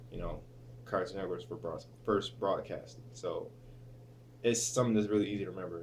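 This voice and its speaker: A man talks at a fairly quick pace with long, frequent pauses, and audible room echo surrounds his voice. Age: 20s. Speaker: vlogger and student. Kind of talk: casual vlog. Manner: hesitant, many fillers.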